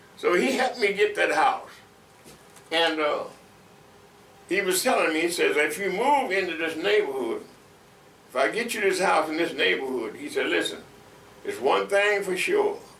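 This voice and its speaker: Over noticeable background noise and audible room echo, a man talks at a moderate pace with long, frequent pauses. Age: 80s+. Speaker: longtime neighborhood resident. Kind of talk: oral history interview. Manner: halting with many fillers.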